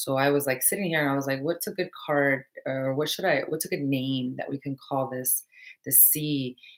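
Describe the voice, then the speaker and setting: In a Spanish accent, a woman talks at a fairly quick pace with a very deep, low pitch and fairly even intonation. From Mexico. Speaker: spiritual teacher. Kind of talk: live stream talk. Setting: live video stream.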